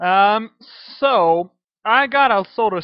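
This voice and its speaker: Speaking with a French accent, a man uses a high pitch with ordinary pitch variation at a very slow pace. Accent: French accent, sounds Russian to himself. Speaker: video game modder. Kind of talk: tutorial. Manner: halting, many fillers.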